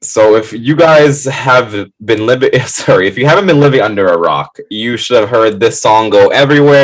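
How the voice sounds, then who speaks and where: A man at a medium pitch, animated in tone, with lively intonation, a moderate pace and hardly any pauses. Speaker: podcast co-host, new music segment. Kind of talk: casual chat on live stream. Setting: live stream.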